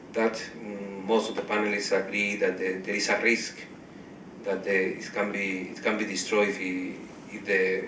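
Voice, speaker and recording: A man with a Spanish accent speaks at a moderate pace and fairly low pitch, in a monotone, flat intonation with long, frequent pauses. Noticeable background noise and audible room echo are present. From Spain. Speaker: blogger and panel rapporteur. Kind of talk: panel report-back. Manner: halting, many repeated words.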